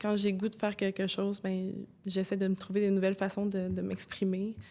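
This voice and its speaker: A woman's medium-pitched voice with a dark, mellow tone, on a very clean recording with a silent background. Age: 20s. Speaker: former elite basketball player, social work student. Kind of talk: podcast interview answer. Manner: casual, hesitant.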